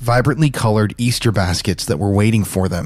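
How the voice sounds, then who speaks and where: A man's unremarkable speaking voice, medium in pitch, fairly quick, with ordinary pitch variation. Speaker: true crime podcast host. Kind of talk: dramatic true-crime narration. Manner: somber, hushed, suspenseful delivery.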